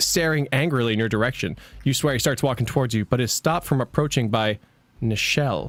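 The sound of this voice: The reader's voice is unforced, and the pitch moves up and down in an ordinary way.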